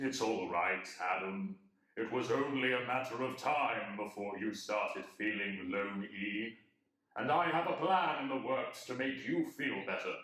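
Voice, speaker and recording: Man's put-on character voice at medium pitch with slight echo. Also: moderate pace. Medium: audio drama. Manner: playful, self-satisfied, deadpan.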